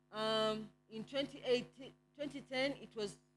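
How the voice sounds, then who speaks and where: A woman speaks with a fairly high voice. Her pitch varies in an ordinary way. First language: not English. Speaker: NGO network presenter. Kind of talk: report presentation. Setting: conference with slides. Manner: hesitant, with fillers.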